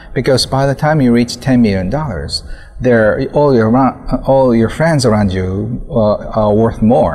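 With a Japanese accent, a man speaks at a medium pitch and a fairly slow pace, his pitch varying in an ordinary way over noticeable background noise. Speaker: author. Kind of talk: interview. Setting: outdoors.

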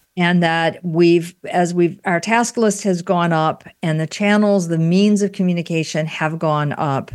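An unremarkable speaking voice belongs to a woman with a fairly low pitch. She goes at a fairly slow pace with hardly any pauses and fairly even intonation. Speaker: podcast host. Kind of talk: interview conversation.

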